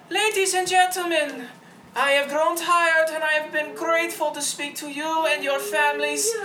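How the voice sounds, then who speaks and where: A breathy, high-pitched put-on character voice against clear background noise. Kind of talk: formal, grand.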